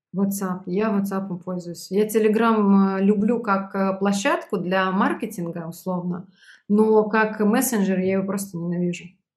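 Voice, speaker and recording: A woman's somewhat breathy voice unfolds at a fairly slow speed. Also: medium pitch for a woman. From Belarus. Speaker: sales trainer and startup founder. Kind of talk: interview.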